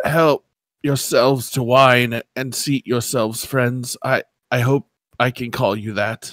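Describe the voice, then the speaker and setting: Putting on a raspy character voice, a man of medium pitch speaks at a fairly slow pace with fairly even intonation. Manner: mysterious, welcoming.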